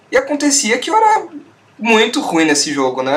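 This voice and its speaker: Noticeable background noise fills the recording. Over it, a man talks at a fairly quick pace. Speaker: podcast host. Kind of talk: casual chat.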